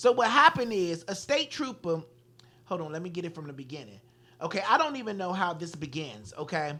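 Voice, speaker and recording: A woman's fairly low voice with an American accent, animated in tone, at a fairly quick pace, with very wide pitch swings and big swings in loudness. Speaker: radio talk show host. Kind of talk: casual chat, reading news stories.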